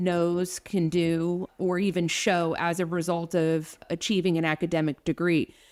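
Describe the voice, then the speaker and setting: With an American accent, a woman speaks at a moderate pace in a fairly low pitch. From New Jersey, US. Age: 40s. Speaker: nurse and nursing education director. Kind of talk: podcast interview. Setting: remote call.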